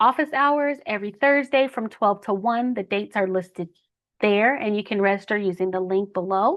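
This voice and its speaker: A woman's fairly high, normal speaking voice at a moderate pace with ordinary pitch variation. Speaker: benefits counselor presenting health plans. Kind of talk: webinar presentation.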